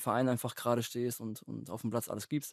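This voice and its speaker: A dark, mellow tone in a monotone, flat intonation over a quiet background. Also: man, dry sound with no echo. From Lake Constance area, southern Germany; southern Germany. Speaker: professional footballer; podcast guest. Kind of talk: casual chat. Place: studio. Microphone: studio mic.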